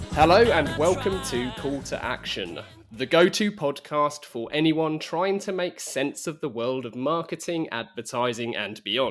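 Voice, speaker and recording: With music in the background, a man with a British accent and a fairly high pitch talks at a fairly slow pace, using lively intonation and hardly any pauses. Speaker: podcast host. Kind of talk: podcast intro.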